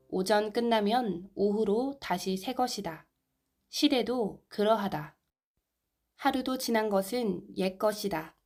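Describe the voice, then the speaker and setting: Music plays in the background as a woman speaks at a fairly high pitch and a very slow pace. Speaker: amateur narrator, video maker. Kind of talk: sermon text reading.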